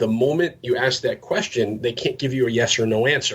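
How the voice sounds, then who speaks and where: A man's somewhat breathy voice sits at a medium pitch with fairly even intonation. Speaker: real estate agent and cold-calling trainer. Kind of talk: podcast interview with live sales-call role play. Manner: fast-talking.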